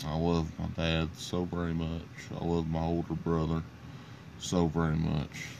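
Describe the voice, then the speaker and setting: In a room with audible echo, a man talks at a fairly slow pace in a very deep, low pitch, his intonation monotone and flat and his loudness very even. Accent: Appalachian. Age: 30s. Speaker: podcast host. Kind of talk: sports results reading; solo podcast monologue.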